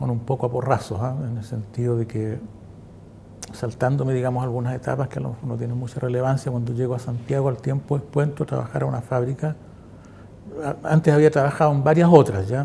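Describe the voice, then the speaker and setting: A man speaks fairly quickly at medium pitch with fairly even intonation in an unremarkable speaking voice. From central Chile, Quillota. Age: 60s. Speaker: former factory worker and political activist. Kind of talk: oral history testimony interview.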